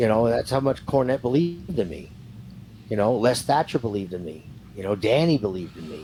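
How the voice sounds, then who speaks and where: A man's medium-pitched voice, dark and mellow, somewhat breathy, at a fairly quick pace, with very wide pitch swings and big swings in loudness. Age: 60s. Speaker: retired professional wrestler. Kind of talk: interview.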